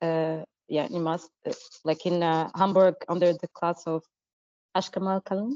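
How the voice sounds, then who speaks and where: In a Portuguese accent, a woman speaks at a moderate pace with a fairly low pitch, a dark, mellow tone and fairly even intonation, leaving long, frequent pauses in a dry, close sound with no echo. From Portugal, Madeira. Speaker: visual artist. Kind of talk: interview. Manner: halting, many fillers.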